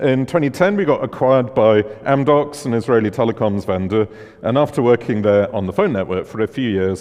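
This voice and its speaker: Talking at a fairly quick pace with a strong British accent, a man uses a medium pitch and ordinary pitch variation. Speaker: conference speaker, tech founder. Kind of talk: conference talk.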